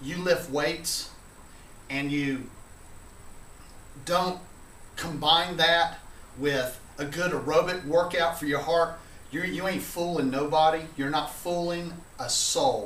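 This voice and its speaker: The speech comes at a fairly slow pace with ordinary pitch variation. Audible room echo surrounds it. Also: man. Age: middle-aged. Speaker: video blogger. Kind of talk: casual vlog monologue. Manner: frequent filler uh.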